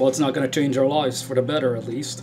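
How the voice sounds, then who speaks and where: A man's medium-pitched voice in a strong Dutch accent, with music in the background. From Netherlands. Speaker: spiritual YouTuber. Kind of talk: casual video talk. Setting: indoors in a room.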